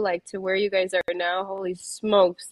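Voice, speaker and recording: A woman's monotone, flat intonation carries her words at a moderate speed. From Chicago, Pilsen. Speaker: MMA fighter. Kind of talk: casual chat.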